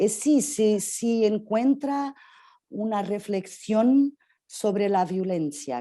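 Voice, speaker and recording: Dark, mellow tone from a woman with a Portuguese accent, at medium pitch with very wide pitch swings, on a very clean recording with a silent background. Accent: Portuguese-accented Spanish (portuñol). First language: Portuguese (speaking Spanish). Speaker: interviewer. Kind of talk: interview. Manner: halting.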